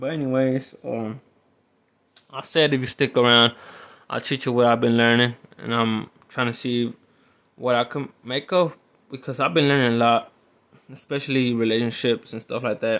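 Keeping his intonation fairly even, a man at a medium pitch moves at a moderate pace with long, frequent pauses. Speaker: podcaster/vlogger. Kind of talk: casual solo monologue. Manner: casual, rambling, halting.

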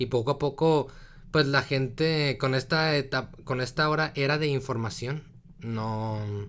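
Fairly slow delivery with fairly even intonation. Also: man, medium pitch for a man. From northern Mexico, Torreón, Coahuila. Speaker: podcast host. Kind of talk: casual chat. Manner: halting, many fillers.

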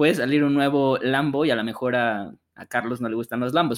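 A man's normal speaking voice at medium pitch with fairly even intonation. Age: 30. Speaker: car podcast co-host. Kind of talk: casual chat.

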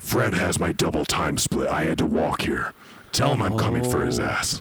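A raspy man's voice with a very deep, low pitch. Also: moderate pace.

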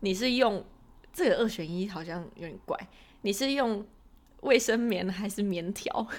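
The speaker talks at a fairly slow pace with long, frequent pauses and big swings in loudness. Pitch variation is ordinary. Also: woman, medium pitch for a woman. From Taiwan. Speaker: podcast co-host. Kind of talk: casual chat.

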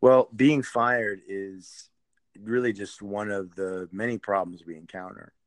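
In a normal speaking voice, a man with a fairly low pitch and ordinary pitch variation speaks at a fairly slow pace, his loudness swinging widely. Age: 40s. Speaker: podcast host, construction company CEO. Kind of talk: conversational podcast interview. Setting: remote recording, co-host in another city.

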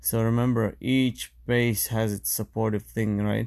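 A man with an American accent, fairly low in pitch, at a fairly slow pace with ordinary pitch variation, in a very clean recording with a silent background. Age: 30s. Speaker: podcast host, running coach. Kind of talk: solo podcast monologue. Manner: casual, halting with fillers.

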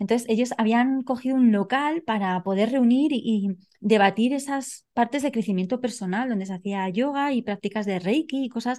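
Over a quiet background, a woman with a dark, mellow tone speaks at a moderate pace with ordinary pitch variation. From Spain. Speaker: coach and nonverbal behavior expert. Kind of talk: interview. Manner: halting.

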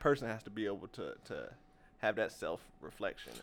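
A man speaks very fast in a very clean recording with a silent background. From Augusta, Georgia (US South). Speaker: entrepreneur, gym owner and athletic trainer. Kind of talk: casual chat.

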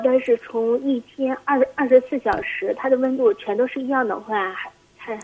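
Over noticeable background noise, a woman speaks at a high pitch and a moderate pace with ordinary pitch variation. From Heilongjiang. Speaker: caller. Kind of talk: phone call-in. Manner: halting.

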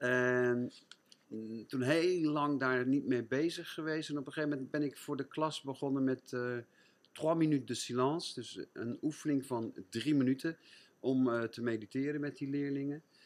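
A plain, everyday voice, this man's is fairly high-pitched and fairly even in intonation, delivered at a moderate pace. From Netherlands, Gouda. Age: 60s. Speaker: French teacher and mindfulness trainer. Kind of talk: casual interview.

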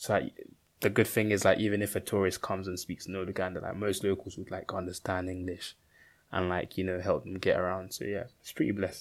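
Very deep and low, a man's voice races at a very fast pace with a monotone, flat intonation. The recording is very clean and the background silent. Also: big swings in loudness. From Uganda, moved to UK at nine. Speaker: podcast co-host. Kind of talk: casual chat.

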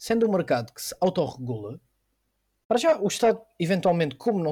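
Fairly quick and dark, mellow in tone, a man speaks with a high pitch. His pitch swings very widely. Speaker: guest explaining politics. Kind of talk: casual explanation. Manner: halting.

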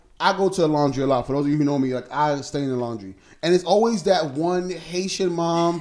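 An animated tone with ordinary pitch variation. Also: man. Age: 30s. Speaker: podcast host. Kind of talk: casual chat.

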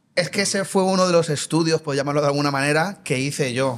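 A man talks at a fairly high pitch and a moderate pace, his pitch varying in an ordinary way. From Colombia. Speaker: burger restaurant owner. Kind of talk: casual interview.

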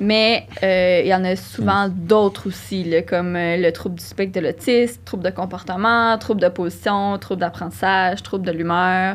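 In an unremarkable speaking voice, a woman talks at medium pitch and a moderate pace, her intonation fairly even. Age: 20s. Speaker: psychology doctoral student. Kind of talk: casual interview.

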